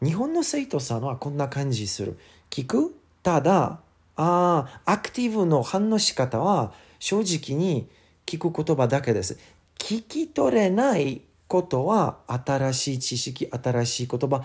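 A man with an English accent speaks at a very slow pace in a somewhat breathy voice, his fairly high pitch making very wide swings. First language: English (speaking Japanese). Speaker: English teacher. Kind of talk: casual chat. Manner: halting.

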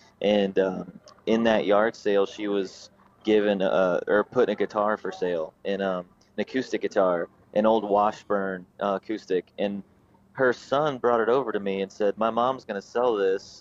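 A man with a North Carolina accent, fairly low in pitch, his intonation fairly even, in a dry, close sound with no echo. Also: moderate pace. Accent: Southern US (North Carolina). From North Carolina, Raleigh outskirts. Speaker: bluegrass musician. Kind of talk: casual interview chat. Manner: halting, many fillers and repeats.

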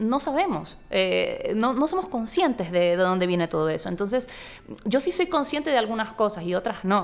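Noticeable background noise sits behind a woman whose pitch swings very widely while her loudness stays very even. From Ecuador, Guayaquil (coast). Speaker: novelist. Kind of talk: interview conversation. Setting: book fair.

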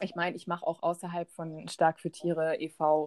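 A woman with an ordinary speaking voice talks at a fairly low pitch, dry and close with no echo. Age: 30s. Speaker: animal welfare volunteer and photographer. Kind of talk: interview. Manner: many filler sounds (ähm, äh).

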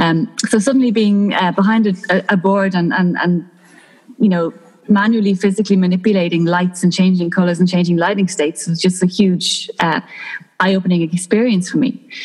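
A woman's fairly quick speech in a Dublin accent, with fairly even intonation, very even loudness, and noticeable background noise. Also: medium pitch for a woman. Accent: Dublin Irish. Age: 30s. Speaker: lighting designer. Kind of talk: casual chat.

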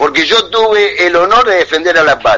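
This is a man speaking. His pace is moderate. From Buenos Aires province, Argentina. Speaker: war veteran. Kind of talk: radio call-in conversation.

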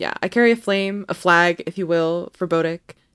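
A woman's animated voice at a moderate pace, with ordinary pitch variation and a dry, close sound with no echo. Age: 20s. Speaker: tennis podcast co-host. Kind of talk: casual chat.

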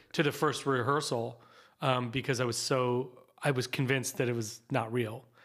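A man's medium-pitched, monotone voice with flat intonation and an American accent. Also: moderate pace. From US Midwest, suburban Columbus, Ohio. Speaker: actor and comedian. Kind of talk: casual chat.

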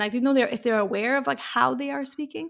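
This is a woman speaking with a French accent. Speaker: podcast host. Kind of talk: interview.

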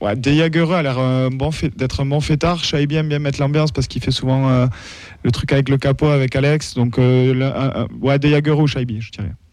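At a moderate pace, a man with a fairly high pitch uses an ordinary speaking voice and fairly even intonation. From France, Toulouse. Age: 30s. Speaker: techno festival organizer and football supporter. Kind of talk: casual radio talk show chat.

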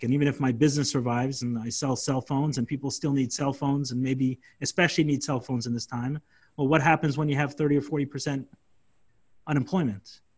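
In an American accent, a man with a fairly high, somewhat breathy voice talks at a fairly quick pace with fairly even intonation. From Brooklyn, New York. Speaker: online event host. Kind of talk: casual chat. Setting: video call.

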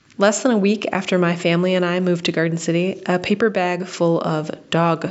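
At a moderate pace, a woman speaks with an American accent and a fairly low pitch. Her intonation is fairly even, and there is noticeable background noise. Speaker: listener sending a voice memo. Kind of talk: recorded personal testimony. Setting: voice memo recording.

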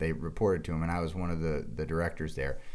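In a room with audible echo, a man speaks at a very fast pace. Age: 30s. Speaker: podcast co-host. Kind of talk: casual chat.

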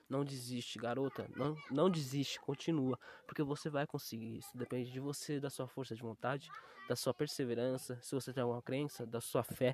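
At a moderate pace, a man with a medium pitch speaks in a monotone, flat intonation. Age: 20s. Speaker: graphic designer. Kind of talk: casual monologue. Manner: halting.

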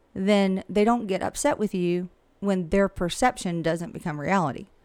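On a very clean recording with a silent background, a woman with a Southern US accent speaks at a moderate pace. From US South, Georgia (Millen). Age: 50s. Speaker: real estate broker. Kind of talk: casual interview.

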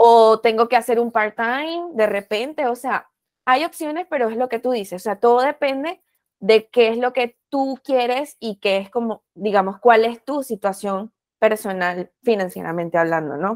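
A woman's fairly high voice, lively in intonation, at a fairly slow pace. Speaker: podcast host. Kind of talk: podcast interview.

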